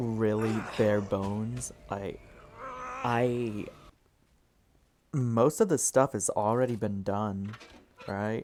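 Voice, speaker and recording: A man's medium-pitched voice at a very slow pace, with long, frequent pauses. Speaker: gaming youtuber. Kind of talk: gameplay commentary. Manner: halting, stuttering; casual, filler-heavy.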